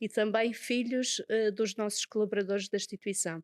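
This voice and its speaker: A woman with a Madeiran accent speaks at a moderate pace and fairly high pitch, the sound dry and close with no echo. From Madeira, Portugal. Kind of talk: interview.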